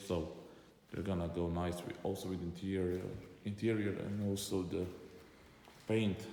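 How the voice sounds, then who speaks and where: Audible room echo surrounds a man speaking at a moderate pace, fairly low-pitched with fairly even intonation. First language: not English. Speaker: car enthusiast vlogger. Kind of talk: car walkaround video. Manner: halting.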